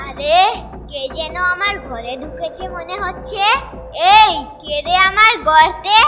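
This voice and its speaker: A woman's cartoonish character voice at a fairly slow pace, with big swings in loudness and clear background noise. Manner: obsequious, easily frightened.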